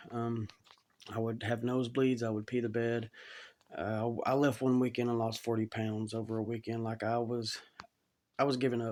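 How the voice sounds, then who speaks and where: A man speaks with a Southern US accent. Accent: Southern US (Georgia). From US South, Georgia (Chatsworth). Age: 30s. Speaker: cancer survivor. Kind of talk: testimony. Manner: halting.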